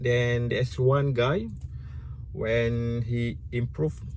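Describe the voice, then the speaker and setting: A man with a Malaysian accent speaks at a medium pitch and a very slow pace, with long, frequent pauses. The recording has noticeable background noise and audible room echo. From Malaysia (Malay). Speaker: YouTuber. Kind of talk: casual vlog commentary. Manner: halting, self-correcting.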